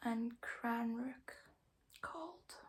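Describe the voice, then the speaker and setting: A soft-spoken whisper. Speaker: ASMR creator. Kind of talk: ASMR poetry reading, soft-spoken and whispered. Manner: whispering, soft-spoken.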